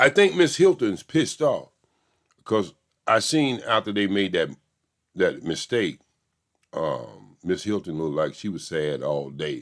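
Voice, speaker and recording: With a Southern US accent, a man speaks in an animated tone at a fairly slow pace, leaving long, frequent pauses. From US South. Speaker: YouTube commentator. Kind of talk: casual commentary on a court trial.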